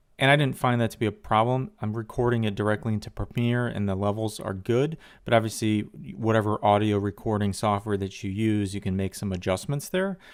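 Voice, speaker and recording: A man's fairly low voice with ordinary pitch variation on a very clean recording with a silent background. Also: fairly quick pace. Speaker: tech reviewer. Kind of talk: product review. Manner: casual, with fillers.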